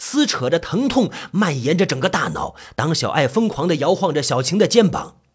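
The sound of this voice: An unforced reading voice carries the whole clip.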